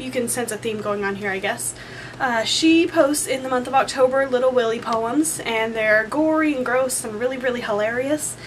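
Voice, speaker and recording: With noticeable background noise behind her, a woman talks at a high pitch that varies in an ordinary way. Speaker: embroidery crafter. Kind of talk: casual talk to camera. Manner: fast.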